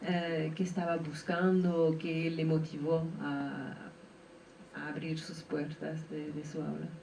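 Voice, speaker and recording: With noticeable background noise and audible room echo, a woman speaks very slowly in a very deep, low voice with monotone, flat intonation. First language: not Spanish (speaking Spanish). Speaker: audience member. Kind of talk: audience question.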